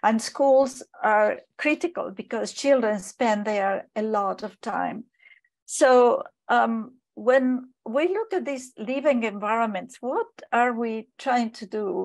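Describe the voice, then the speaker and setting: A woman with a non-native accent speaks at a fairly high pitch and a very slow pace. Her pitch varies in an ordinary way over a quiet background. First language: not English. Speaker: expert panelist. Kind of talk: webinar lecture. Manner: halting, many fillers.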